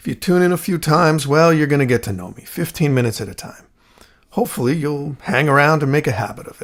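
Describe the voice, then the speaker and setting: Lively intonation and big swings in loudness come through as a man speaks very fast at a fairly high pitch. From New Jersey. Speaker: podcast host. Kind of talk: casual monologue.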